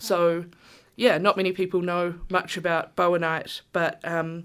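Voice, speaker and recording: Speaking very slowly with a New Zealand accent, a woman with a fairly low-pitched voice is heard on a very clean recording with a silent background. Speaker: Māori storyteller. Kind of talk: storytelling; casual chat.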